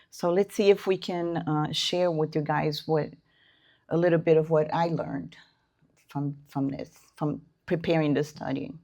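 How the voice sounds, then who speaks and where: In a non-native accent, the speaker keeps a moderate pace and fairly even intonation, with long, frequent pauses. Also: woman, very deep, low pitch for a woman, quiet background. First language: not English. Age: 60s. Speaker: spiritist lecturer. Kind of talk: lecture. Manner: halting.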